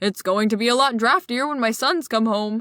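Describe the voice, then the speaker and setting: A gruff, put-on character voice moves at a moderate pace on a very clean recording with a silent background. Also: woman. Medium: read story. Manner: gruff, rough-spoken.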